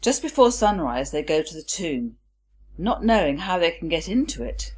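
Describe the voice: At a moderate pace, a woman talks with a fairly low pitch, big pitch swings, a slightly mellow tone and a slightly husky edge.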